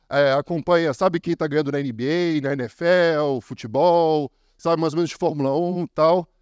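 A man with a fairly high pitch speaks at a moderate pace with ordinary pitch variation. The sound is dry and close with no echo, against a quiet background. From Brazil. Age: 30s. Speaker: copywriter. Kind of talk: conference talk. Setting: stage with audience. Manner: animated.

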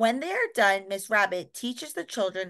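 The text is read aloud in a natural voice. Its pitch variation is ordinary.

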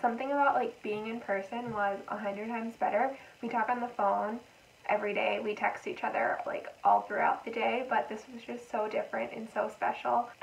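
Talking at a moderate pace, a woman lets her pitch vary in an ordinary way. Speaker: vlogger. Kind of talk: casual vlog chat. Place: home room. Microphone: camera far.

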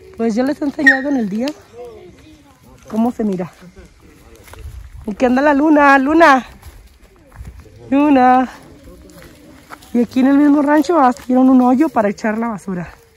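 A woman speaks in a high pitch at a moderate pace. She leaves long, frequent pauses. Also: ordinary pitch variation.

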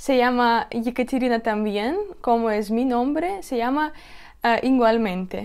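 Over a quiet background, a woman speaks at a high pitch and a fairly slow pace with ordinary pitch variation. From Russia. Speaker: video blogger; vlogger interviewing her grandmother. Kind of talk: vlog presentation. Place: home room. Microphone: lapel.

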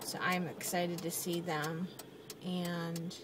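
A woman's fairly low voice in strong room echo.

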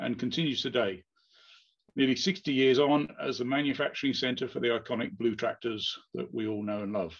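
Against a quiet background, a man speaks at a moderate pace with vocal fry and ordinary pitch variation. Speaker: presenter. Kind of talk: conference presentation. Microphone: webcam.

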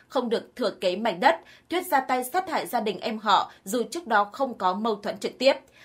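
Using a plain, everyday voice, a woman speaks at a moderate pace with fairly high pitch and lively intonation. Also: very clean recording, silent background. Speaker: news narrator. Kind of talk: news reading. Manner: formal.

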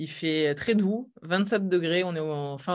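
Behind the woman's voice, the background stays quiet. She talks fairly slowly, with ordinary pitch variation. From southern France, Vaucluse; southern France. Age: 30s. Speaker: startup founder; interviewee. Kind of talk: interview. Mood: relaxed, cheerful. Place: home room.

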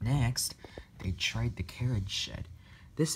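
Simply a natural reading voice

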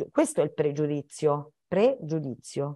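This woman's voice has a dark, mellow tone. Her pitch swings very widely. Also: quiet background. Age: 60s. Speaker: children's author and teacher; teacher. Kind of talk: talk for schoolchildren. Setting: video call. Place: home room. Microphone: video call.

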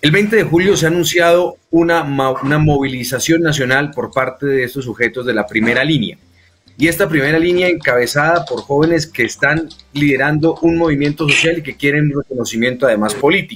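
A fairly quick male voice, fairly high in pitch, with ordinary pitch variation and an unremarkable speaking voice. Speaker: interviewer, co-host. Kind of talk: political interview.

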